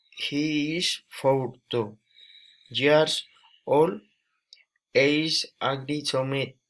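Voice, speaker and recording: Recorded very cleanly against a silent background, a man talks at a very slow pace with fairly even intonation and long, frequent pauses. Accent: Spanish. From Colombia, Boyacá. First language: Spanish. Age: 20s. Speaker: student. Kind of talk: language practice self-introduction. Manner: halting.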